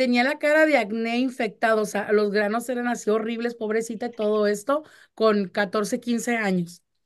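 A woman talks at a moderate pace with a fairly high pitch. Her tone is animated, and the background is quiet. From Mexico (Chihuahua). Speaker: radio host. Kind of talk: casual chat.

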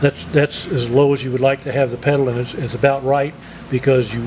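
The intonation is monotone and flat. Background noise is noticeable. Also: man. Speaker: product demonstrator. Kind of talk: tutorial. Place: workshop.

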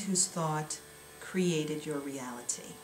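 A woman speaks at a very slow pace with ordinary pitch variation, amid audible room echo and light background noise. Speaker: spiritual teacher reading course lessons. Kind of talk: spiritual text reading, meditative lesson narration. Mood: calm, gentle, devotional. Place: home room.

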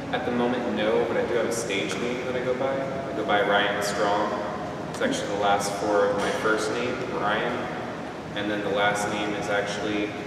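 Audible room echo and noticeable background noise come through as a man speaks at a moderate pace. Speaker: interviewee. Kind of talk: interview answer. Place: empty room. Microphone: camera far.

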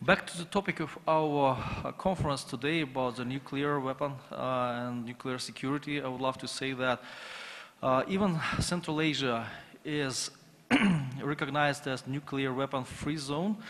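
This man's pace is moderate. His pauses are long and come often. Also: fairly even intonation. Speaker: conference panel moderator. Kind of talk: conference presentation. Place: hall. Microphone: podium.

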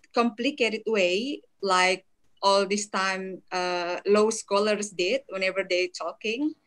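With an Indonesian accent, a woman talks with ordinary pitch variation against a quiet background. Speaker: law lecturer. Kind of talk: webinar lecture. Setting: video call. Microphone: video call.

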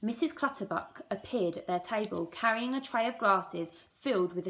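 A passage is read aloud in a natural voice.

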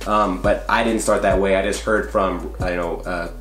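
A man's voice carries audible room echo, with faint music in the background. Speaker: fitness coach. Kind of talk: casual vlog chat. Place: home room.

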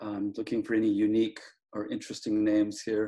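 In a quiet setting, a man speaks at a moderate pace with ordinary pitch variation. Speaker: guest professor. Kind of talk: casual lecture intro. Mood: joking, friendly. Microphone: video call.

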